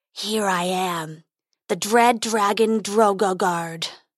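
A woman's growling, put-on character voice at medium pitch, delivered at a very slow pace

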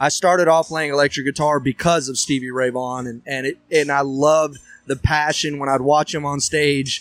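A man with a Texan accent speaks at a fairly quick pace in a fairly high pitch. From Texas, Huffman. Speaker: country singer and bandleader. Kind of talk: casual chat.

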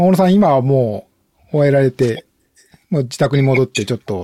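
A man with a medium pitch and a dark, mellow tone speaks at a moderate pace with lively intonation. The sound is dry and close, with no echo. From Japan, Shiga Prefecture (Nagahama). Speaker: podcast host. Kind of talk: casual chat. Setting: online audio room.

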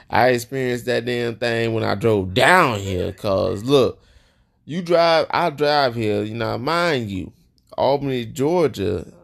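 Lively intonation and an animated tone mark this man's medium-pitched speech, delivered at a fairly slow pace. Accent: American. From Joliet, Illinois. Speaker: podcast host. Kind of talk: casual chat with his wife, podcast banter. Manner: animated, joking, laughs often.

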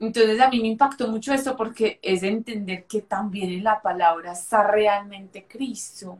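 A woman's fairly high, somewhat breathy voice with fairly even intonation at a moderate pace, hardly any pauses. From Colombia, Medellín. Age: 20s. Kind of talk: interview with faith testimony.

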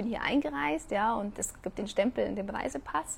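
A fairly high-pitched, somewhat breathy woman's voice, animated in tone, at a moderate pace. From Germany. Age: 30s. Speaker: podcast host and coach. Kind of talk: casual live Q&A stream. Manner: animated, with many fillers.

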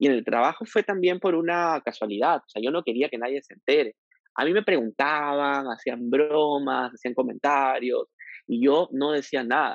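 Using a normal speaking voice, a man talks at a moderate pace and a fairly high pitch with big swings in loudness. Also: ordinary pitch variation. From Peru, Piura. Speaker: LGBTQ rights activist. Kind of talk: interview conversation.

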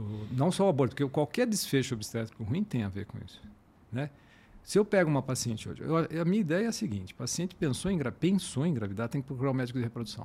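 A man talks fairly quickly in a dark, mellow tone that is somewhat breathy. His pitch swings very widely. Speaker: fertility doctor. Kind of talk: casual interview. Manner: halting.

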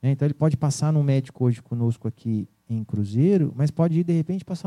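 Dry and close with no echo, a man's dark, mellow voice at fairly high pitch moves at a fairly quick pace with ordinary pitch variation. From Brazil, São Paulo state (Vale do Paraíba). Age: 40s. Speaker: business owner. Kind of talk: interview. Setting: radio studio. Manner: hesitant, many fillers.

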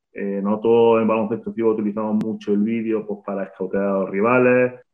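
A man speaks at a medium pitch with fairly even intonation in a normal speaking voice. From Spain, Granada. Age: 30s. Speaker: basketball coach. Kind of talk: interview.

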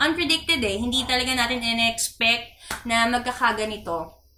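Raised and projected, a woman's high-pitched voice moves at a moderate pace through audible room echo and noticeable background noise. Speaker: podcast host for a church youth fellowship. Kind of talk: casual chat.

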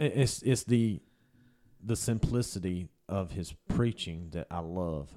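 With a Southern US accent, a man speaks at a fairly slow pace in a very deep, low pitch and a dark, mellow tone, his intonation lively over a very clean recording with a silent background. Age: 30s. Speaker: podcast producer. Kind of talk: casual chat. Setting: studio.

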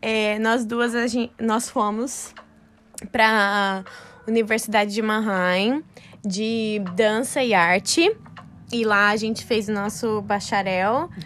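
Her pitch is fairly high for a woman, and her intonation stays fairly even. The woman speaks very slowly, with long, frequent pauses. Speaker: podcast co-host, dancer. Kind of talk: casual chat. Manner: laughs often.

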